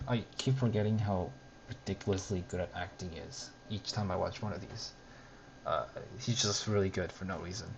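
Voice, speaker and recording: A man talks at a moderate pace with a fairly low pitch. His voice is somewhat breathy, with ordinary pitch variation. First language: not English. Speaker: streamer reacting to a web series. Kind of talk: casual commentary over video. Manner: hesitant, many fillers and restarts. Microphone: bad audio quality, cheap mic.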